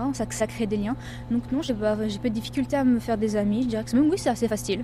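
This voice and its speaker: A woman talks very fast while noticeable background noise runs behind her. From Paris region, France. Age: young. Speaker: French expatriate, tourism website worker. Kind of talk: casual interview.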